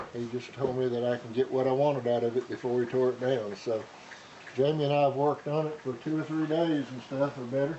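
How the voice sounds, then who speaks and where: Amid noticeable background noise, a man talks very fast at a medium pitch. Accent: Tennessee. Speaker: junk store owner. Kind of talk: casual chat.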